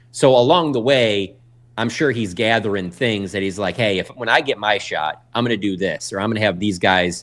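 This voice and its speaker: An unremarkable speaking voice with an American accent, ordinary pitch variation and a fairly quick pace. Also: man. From Michigan. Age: 40s. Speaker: sports journalist. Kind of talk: casual interview. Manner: fast, many fillers and restarts.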